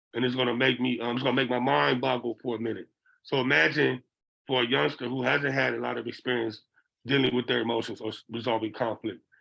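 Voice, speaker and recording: At a fairly quick pace, a man with a medium pitch speaks in a bright, sharp tone touched with vocal fry. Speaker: behavioral interventionist. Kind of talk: lecture. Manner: conversational, frequent 'okay?' check-ins.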